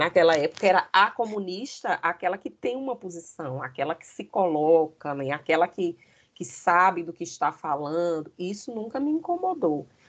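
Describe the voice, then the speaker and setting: This woman has an ordinary speaking voice, fairly low in pitch, with lively intonation and big swings in loudness. She keeps a moderate pace with hardly any pauses. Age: 50s. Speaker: history teacher and former student leader. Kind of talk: interview.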